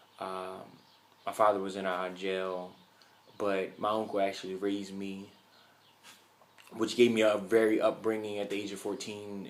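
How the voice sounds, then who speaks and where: A man with an American accent talks at a fairly quick pace in a fairly low pitch. His intonation is monotone and flat, and room echo is audible. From US, Philadelphia. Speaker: college student. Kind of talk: class speech. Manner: halting, many fillers and repeats.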